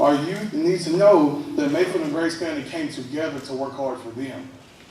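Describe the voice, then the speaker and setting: A man's fairly high voice moves along at a fairly quick clip, its pitch varying in an ordinary way, while noticeable noise hums in the background. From western Kentucky. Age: 30s. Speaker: local political candidate. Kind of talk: campaign speech. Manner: halting.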